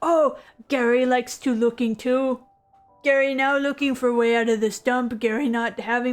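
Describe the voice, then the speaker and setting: A woman puts on a character voice, pitched high, talking at a moderate pace with faint music in the background. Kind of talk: broken, simple grammar. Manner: shouting.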